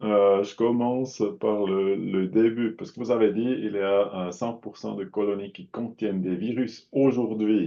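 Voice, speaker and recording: A man with a non-native accent speaks at a fairly slow pace with hardly any pauses, his fairly low voice keeping a fairly even intonation while its loudness swings widely. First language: not French (speaking French). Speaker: audience member asking questions. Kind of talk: Q&A questions. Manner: halting.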